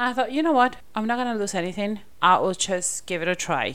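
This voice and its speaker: A woman in a plain, everyday voice, fairly quick in pace, with ordinary pitch variation. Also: very clean recording, silent background. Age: 30s. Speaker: podcast host and mother. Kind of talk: casual chat; interview.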